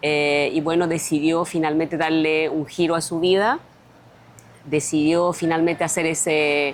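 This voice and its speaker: A woman speaks in a very deep, low pitch with monotone, flat intonation. Her pace is fairly slow. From France (raised from age 6 to 21), born on Easter Island, Chile. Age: 50s. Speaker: mayoral candidate. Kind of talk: interview.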